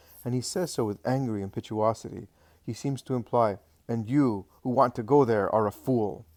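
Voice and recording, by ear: A passage is read aloud in a natural voice whose pitch varies in an ordinary way.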